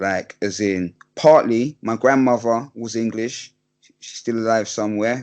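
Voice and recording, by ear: Fairly slow and fairly even in intonation, a man talks with a slightly mellow tone and a fairly low pitch.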